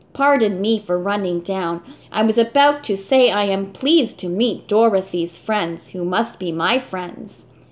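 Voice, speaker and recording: A woman's put-on character voice at medium pitch, moderate in pace with hardly any pauses and ordinary pitch variation. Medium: read story. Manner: jerky, mechanical.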